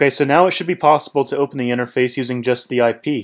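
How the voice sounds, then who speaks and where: An unremarkable speaking voice belongs to this man, pitched at a medium level. He talks at a fairly quick pace. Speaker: tech tutorial youtuber. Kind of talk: tutorial. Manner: casual, many fillers.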